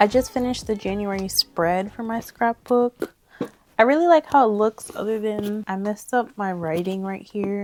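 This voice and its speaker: Dry and close with no echo, a woman's medium-pitched voice comes at a moderate pace with ordinary pitch variation over noticeable background noise. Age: 20s. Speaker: content creator. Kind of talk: casual talk to camera.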